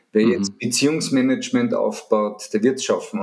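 A man with a Viennese accent talks at medium pitch, his voice moving through very wide pitch swings. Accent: Viennese Austrian dialect. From Vienna, Austria. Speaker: media sales consultant. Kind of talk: interview.

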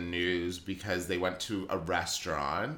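A man speaks over noticeable background noise. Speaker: podcast host. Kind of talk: casual chat over wine. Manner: bantering, interrupts often.

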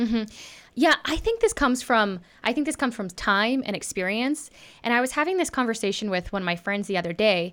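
In an American accent, a woman with a plain, everyday voice and a fairly high pitch talks at a fairly quick pace with lively intonation, on a very clean recording with a silent background. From Texas. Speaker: actress and podcast host. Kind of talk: casual chat.

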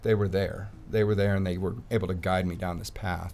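A man's very deep, low voice with an American accent, fairly even intonation, a moderate pace and audible room echo. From Colorado, US. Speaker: firefighter in recovery from addiction. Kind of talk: personal testimony.

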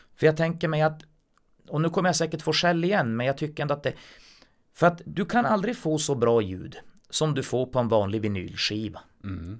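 The voice makes very wide pitch swings. Its pace is fairly quick. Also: man, fairly high pitch for a man. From northern Sweden, Kiruna. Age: 40s. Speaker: blind musician and mechanic. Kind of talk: casual chat.

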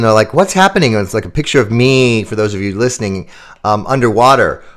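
A man speaks in a normal speaking voice with an American accent. His pitch is medium, with ordinary pitch variation. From US Midwest, Chicago suburbs. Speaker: keynote speaker and sales author. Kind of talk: interview.

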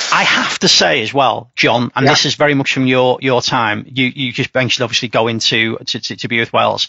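Hardly pausing, a man speaks at a medium pitch in a monotone, flat intonation over noticeable background noise. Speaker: podcast host. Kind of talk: casual chat. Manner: rambling, with many fillers.

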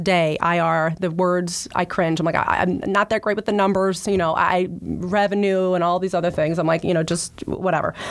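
A woman with an American accent has an unremarkable speaking voice, medium pitch, fairly even intonation and a moderate pace. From South Jersey, US. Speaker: public relations executive. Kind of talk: interview. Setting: studio.

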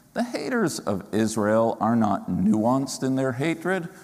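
Over noticeable background noise and audible room echo, a man at a medium pitch makes very wide pitch swings. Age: 50s. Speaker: rabbi. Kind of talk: sermon.

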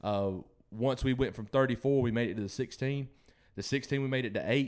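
A man with a Southern US accent speaks at a fairly quick pace with fairly even intonation, in a very clean recording with a silent background. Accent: Southern US (Georgia). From Georgia, US South. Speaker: country musician. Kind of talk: casual interview. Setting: studio.

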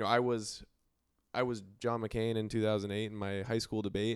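In a very clean recording with a silent background, a man uses an ordinary speaking voice, fairly low in pitch, with fairly even intonation at a fairly quick pace. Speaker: panelist. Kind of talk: casual panel discussion.

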